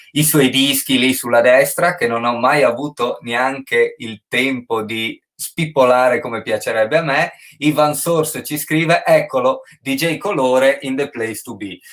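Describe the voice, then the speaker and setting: With a Friulian accent, a man talks at a fairly slow pace. His pitch is fairly high and varies in an ordinary way. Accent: Friulian Italian. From Friuli, northeast Italy. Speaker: online show host. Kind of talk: casual interview chat. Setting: livestream on Instagram and Facebook.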